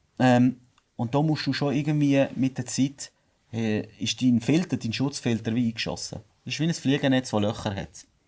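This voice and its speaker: Here a man speaks in a Swiss German accent at a medium pitch with ordinary pitch variation. His pace is moderate, and the recording is very clean with a silent background. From Switzerland. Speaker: business owner. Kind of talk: podcast interview.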